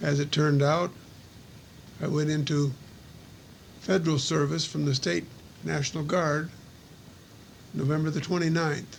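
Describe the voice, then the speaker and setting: Somewhat breathy and fairly high-pitched, a man speaks with monotone, flat intonation and very even loudness at a moderate pace, leaving long, frequent pauses. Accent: American. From US Midwest. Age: 70s. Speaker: war veteran. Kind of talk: personal recorded reminiscence.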